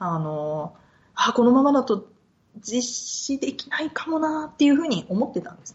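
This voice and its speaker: Her pitch is high and swings very widely. The woman keeps a moderate pace while her loudness rises and falls sharply. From Japan, Yokohama; moved often, high school in Osaka. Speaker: podcast guest, researcher/interviewer. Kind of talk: casual interview chat.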